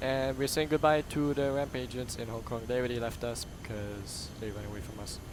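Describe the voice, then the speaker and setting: A man talks at a fairly quick pace with hardly any pauses, his medium-pitched voice keeping a fairly even intonation amid audible room echo. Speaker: flight sim streamer. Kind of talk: gameplay commentary. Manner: fast.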